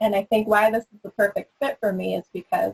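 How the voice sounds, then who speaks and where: A woman with an American accent speaks at a fairly quick pace in a medium pitch, somewhat breathy, with ordinary pitch variation. The sound is dry and close, with no echo. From Northern California, Sonoma County. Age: 20s. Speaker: city council candidate. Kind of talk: candidate forum answer.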